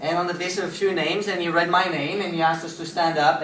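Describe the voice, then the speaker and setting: Very fast speech amid noticeable background noise. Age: young. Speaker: social entrepreneur giving a talk. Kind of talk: inspirational talk.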